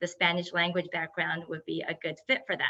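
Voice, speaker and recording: With a Japanese accent, a woman speaks in a bright, sharp tone at a medium pitch. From Japan, Yokohama. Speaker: entrepreneur. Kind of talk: webinar presentation.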